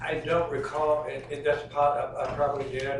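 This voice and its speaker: A man with an American accent speaks in a flat monotone, with audible room echo and noticeable background noise. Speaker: trial witness, crime victim. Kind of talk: courtroom testimony. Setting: courtroom. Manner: fast, quiet.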